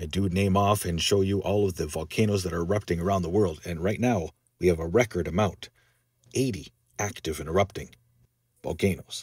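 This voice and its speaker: A man with a very deep, low pitch talks at a fairly quick pace in an upbeat tone. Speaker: science and weather channel host. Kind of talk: weather report. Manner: brisk, earnest, warning-heavy; upbeat and informal.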